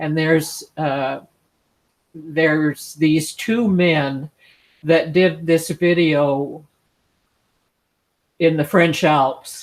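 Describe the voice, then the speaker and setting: Delivery comes at a very slow pace, broken by long, frequent pauses. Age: 70s. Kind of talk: casual chat. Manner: halting.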